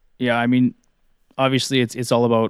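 In a western Canadian accent, a man speaks with monotone, flat intonation, captured in a very clean recording with a silent background and a dry, close sound with no echo. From Canadian Prairies. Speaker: fantasy hockey podcaster. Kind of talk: casual interview.

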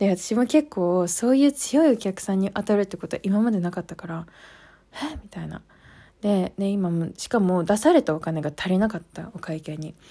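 A woman's dark, mellow tone with lively intonation, big swings in loudness and a moderate pace, on a very clean recording with a silent background. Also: medium pitch for a woman. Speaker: podcast host. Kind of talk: casual chat. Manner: low-energy.

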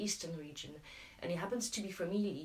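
A woman with a French accent, medium pitch and ordinary pitch variation, amid noticeable background noise and audible room echo. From France. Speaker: local campaign group organiser. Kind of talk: casual chat.

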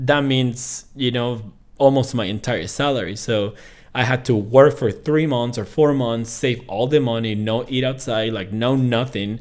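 Speaking in a Venezuelan accent, a man keeps a medium pitch, fairly even intonation, and a fairly slow pace. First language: Spanish. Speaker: podcast guest. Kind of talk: casual interview.

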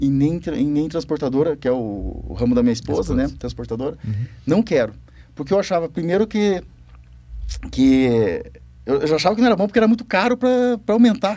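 Dark and mellow in tone, a man's voice sits fairly high in pitch. It swings very widely in pitch at a fairly quick pace. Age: 40s. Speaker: co-founder and board member, former farmer. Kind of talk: casual chat.

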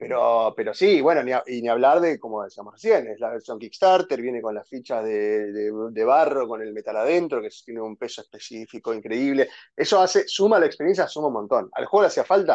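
A man with a plain, everyday voice talks at a fairly quick pace in a fairly high pitch, with lively intonation and hardly any pauses. The sound is dry and close with no echo, and the background is quiet. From Argentina, San Fernando (Buenos Aires). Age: 30s. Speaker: board game enthusiast. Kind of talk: casual chat.

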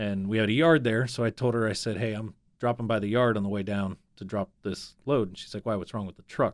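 A man with an American accent uses a normal speaking voice at a fairly low pitch. He moves at a fairly quick pace with fairly even intonation and hardly any pauses. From Northeast Ohio. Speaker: business coach. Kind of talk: interview storytelling. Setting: studio.

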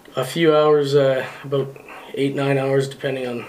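There is noticeable background noise and audible room echo. A man speaks at a fairly high pitch with monotone, flat intonation. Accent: Canadian. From northern Manitoba, Canada. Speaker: truck driver. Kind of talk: casual chat.

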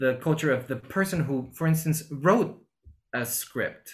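A somewhat breathy man's voice with a fairly high pitch. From Peru, Lima. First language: Spanish. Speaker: actor. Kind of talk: interview. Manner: halting, many repetitions.

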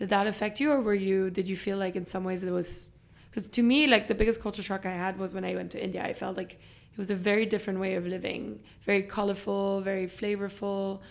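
Words pour out very fast, and the intonation stays fairly even. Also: woman, medium pitch for a woman. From Belgium and Germany. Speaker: podcast host, business school student. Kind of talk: interview. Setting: recording room at school.

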